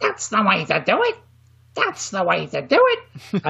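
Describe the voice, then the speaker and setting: A put-on character voice, shrill and squeaky, delivered at a moderate pace. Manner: gleeful, repetitive catchphrase.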